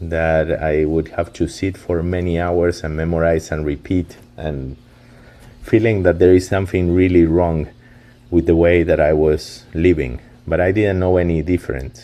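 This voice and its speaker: In a Spanish accent, a man with a very deep, low pitch and a dark, mellow tone speaks at a fairly slow pace with fairly even intonation. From Argentina, Buenos Aires. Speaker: company founder. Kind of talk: webinar presentation. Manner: halting, many fillers.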